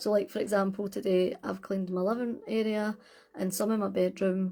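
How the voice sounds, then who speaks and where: Her voice is medium in pitch, with a dark, mellow tone. The woman talks fairly quickly with fairly even intonation. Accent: Scottish. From Scotland. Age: 40s. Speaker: witchcraft content creator. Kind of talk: casual livestream chat. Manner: relaxed, hesitant with fillers.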